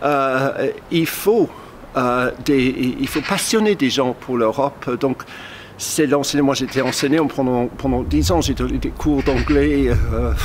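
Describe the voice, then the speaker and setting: With a British accent, a man speaks very slowly at a very even loudness over noticeable background noise. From Cornwall, England. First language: English (speaking French). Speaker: journalist. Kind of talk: talk to camera. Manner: halting.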